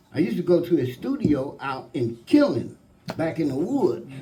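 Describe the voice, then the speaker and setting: This man speaks with an Alabama accent and lively intonation. Audible room echo is present. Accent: Alabama Southern. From US South, Florence, Alabama. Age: 70s. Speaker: musician. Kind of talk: panel storytelling. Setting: stage with audience.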